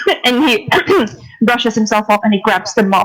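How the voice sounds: The delivery is a natural reading voice. Nothing else is noted.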